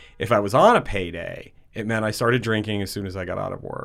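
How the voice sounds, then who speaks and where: Ordinary pitch variation in an unremarkable speaking voice with an American accent. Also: man. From Connecticut, West Haven. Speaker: recovering alcoholic. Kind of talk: personal testimony interview.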